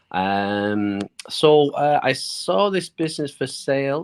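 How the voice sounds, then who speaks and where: A man speaks with a British accent. The recording sounds dry and close, without echo. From United Kingdom. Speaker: small business owner. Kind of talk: interview. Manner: halting.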